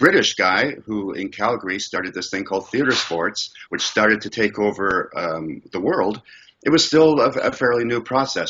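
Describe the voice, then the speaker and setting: Fairly low in pitch, this man has an unremarkable speaking voice. His pitch varies in an ordinary way. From Scotland, raised in Canada. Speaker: improv comedian. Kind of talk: interview answer.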